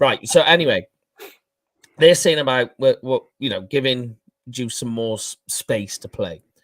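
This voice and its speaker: At a fairly slow pace with long, frequent pauses, a man with a Welsh accent speaks at a medium pitch, his intonation lively and his loudness swinging widely, in a dry, close sound with no echo. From Wales. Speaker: NFL fan podcast host and writer. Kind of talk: casual sports discussion.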